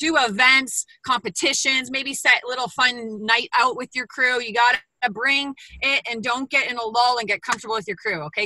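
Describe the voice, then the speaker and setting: A woman speaks at a high pitch in a bright, sharp, animated tone with ordinary pitch variation. The sound is dry and close with no echo. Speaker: bootcamp trainer. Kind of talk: panel discussion. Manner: fast.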